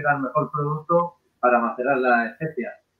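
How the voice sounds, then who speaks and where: A man with a plain, everyday voice speaks at a fairly high pitch against a quiet background. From Spain. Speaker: rum brand co-founder. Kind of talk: casual chat. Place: home room. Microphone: video call.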